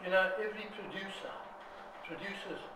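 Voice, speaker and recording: Over noticeable background noise and audible room echo, a man speaks in a high voice at a moderate pace. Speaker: homeopath. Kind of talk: interview. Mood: earnest, critical. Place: home room. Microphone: phone near.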